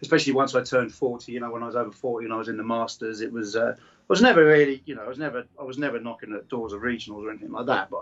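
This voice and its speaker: A man talks at a very fast pace with hardly any pauses and medium pitch. His intonation is fairly even, though his loudness swings widely. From Newmarket, England. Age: 40s. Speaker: fitness coach and endurance athlete. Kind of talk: podcast interview answer. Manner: soft-spoken.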